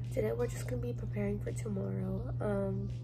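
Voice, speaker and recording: A woman talks at a moderate speed, her pitch varying in an ordinary way, while music plays behind her. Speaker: vlogger. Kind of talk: casual vlog chat. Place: home room. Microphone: phone near.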